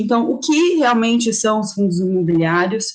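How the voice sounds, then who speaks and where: With lively intonation, an ordinary speaking voice moves along at a fairly slow pace. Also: woman. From Brazil, São Paulo. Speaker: investment educator. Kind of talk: online lecture.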